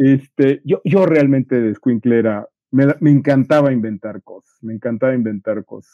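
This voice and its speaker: A man speaks with a Mexican accent at a medium pitch and ordinary pitch variation. His loudness swings widely. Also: moderate pace. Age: 50s. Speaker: podcast co-host. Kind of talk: casual chat. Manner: stammering repetitions.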